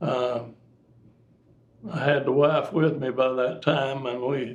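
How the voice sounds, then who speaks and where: A man with an Appalachian accent and a medium-pitched voice speaks very slowly with fairly even intonation. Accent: Appalachian Kentucky. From Kentucky. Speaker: air force veteran, former teacher. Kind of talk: interview answer.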